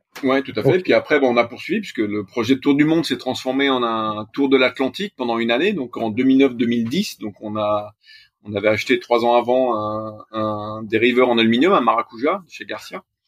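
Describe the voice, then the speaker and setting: Speaking at a moderate pace, this man has an ordinary speaking voice, a medium pitch, and ordinary pitch variation. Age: 40s. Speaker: sailor, accountant by training. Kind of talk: interview.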